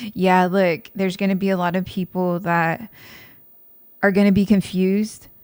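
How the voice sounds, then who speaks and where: On a very clean recording with a silent background, a woman speaks at a moderate pace and medium pitch in a monotone, flat intonation. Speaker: tarot reader. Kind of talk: tarot reading monologue. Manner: getting quieter.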